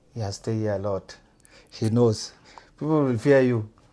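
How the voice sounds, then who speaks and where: A man with a South Sudanese accent speaks at a fairly quick pace in a dark, mellow tone. His pitch is fairly low, with ordinary pitch variation. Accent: noticeable South Sudanese. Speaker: events promoter and fashion designer. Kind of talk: podcast interview.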